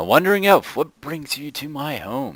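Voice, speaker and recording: A man speaks at a moderate pace in a put-on character voice. His pitch sits fairly high. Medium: game stream.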